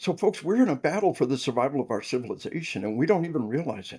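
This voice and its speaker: With an American accent, a man speaks in a fairly high voice that swings very widely in pitch. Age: 60s. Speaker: military officer and first responder trainer. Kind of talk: podcast interview. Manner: animated; repetitive stammering.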